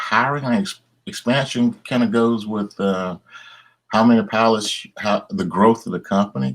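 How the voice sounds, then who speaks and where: With a Southern US accent, a man speaks at a moderate pace and medium pitch, his intonation lively. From Tennessee, USA. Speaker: airline captain. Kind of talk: interview answer.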